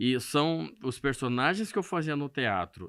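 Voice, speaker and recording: On a very clean recording with a silent background, a man of medium pitch talks at a fairly slow pace with very wide pitch swings. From Brazil, Mato Grosso do Sul interior, Corumbá region. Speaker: radio host and comedian. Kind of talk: podcast interview.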